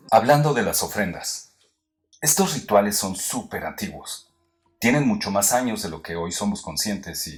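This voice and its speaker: Fairly low in pitch and somewhat breathy, a man speaks at a fairly slow pace with very wide pitch swings, recorded very cleanly against a silent background. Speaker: narrator. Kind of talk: educational history narration.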